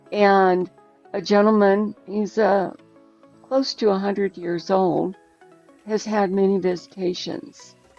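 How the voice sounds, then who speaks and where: A woman speaks very slowly, with long, frequent pauses, while music plays behind her. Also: medium pitch for a woman, ordinary pitch variation. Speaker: podcast interviewer. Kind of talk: casual conversation.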